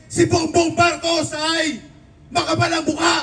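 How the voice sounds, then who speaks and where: The man's pitch is extremely high for a man. Noticeable background noise runs behind him. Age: 60s. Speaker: political commentator. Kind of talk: political commentary.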